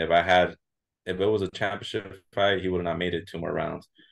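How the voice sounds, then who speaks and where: Very deep, low male voice with an American accent, monotone, flat intonation and a moderate pace against a quiet background. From southern California, Santa Ana, Mexican heritage. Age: 20s. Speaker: MMA fighter. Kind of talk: interview. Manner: halting, many repeats and fillers.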